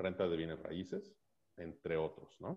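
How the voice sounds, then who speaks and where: A man talks at a very slow pace. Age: 30s. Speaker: financial advisor. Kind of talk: casual interview. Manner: halting, many fillers and repetitions.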